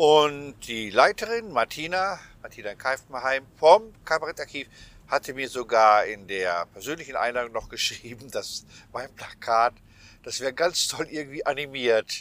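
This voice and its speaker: Talking at a fairly slow pace, a man uses a normal speaking voice with fairly high pitch and lively intonation. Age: 60s. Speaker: cabaret artist and podcast host. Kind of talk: casual chat. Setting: travelling, on the way to an exhibition.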